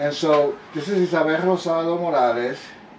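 A man's fairly high voice amid light background noise and audible room echo. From Long Island, New York (Puerto Rican family). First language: Spanish. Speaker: multimedia artist. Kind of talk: interview. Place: home room.

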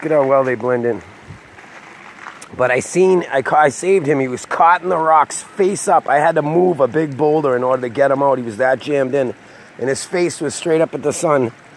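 Over light background noise, a man speaks at a fairly quick pace, the sound dry with no echo. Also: ordinary pitch variation. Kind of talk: casual vlog chat. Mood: excited, storytelling. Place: waterside. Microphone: phone near.

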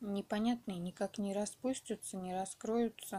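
The voice is a woman's, medium in pitch. She goes at a very slow pace. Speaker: home gardener. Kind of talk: casual talk to camera.

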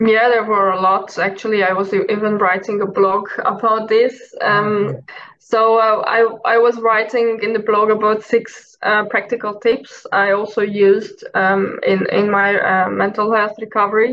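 Light background noise accompanies a woman with a Hungarian accent whose fairly high pitch stays in monotone, flat intonation. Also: moderate pace. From Hungary. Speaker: mental health advocate. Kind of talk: personal testimony in interview. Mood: calm, reflective. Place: home room. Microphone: video call.

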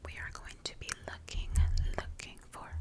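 Loud background noise accompanies a woman's voice. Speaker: ASMR creator. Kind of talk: soft casual ASMR chat. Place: home room. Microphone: studio mic.

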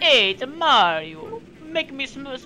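Using a put-on character voice, a woman speaks at a fairly slow pace with clear background noise behind her. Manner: playful, cartoonish.

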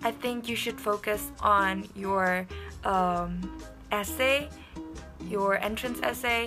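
A woman speaks at a very slow pace with an Indonesian accent. Long, frequent pauses break up her speech, and clear music plays in the background. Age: young. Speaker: university student. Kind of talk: casual talk to camera. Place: home room. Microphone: phone near.

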